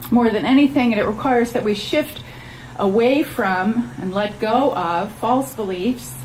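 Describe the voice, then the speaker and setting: Over noticeable background noise, a woman with a fairly high pitch and lively intonation speaks at a fairly slow pace. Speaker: minister, church speaker. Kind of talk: sermon / spiritual message to a congregation. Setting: outdoor church service.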